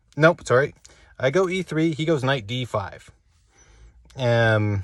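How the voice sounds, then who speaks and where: Recorded very cleanly against a silent background, a man speaks very slowly at a medium pitch with lively intonation. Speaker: amateur chess player recapping his games. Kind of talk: casual solo game recap monologue. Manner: animated, excited.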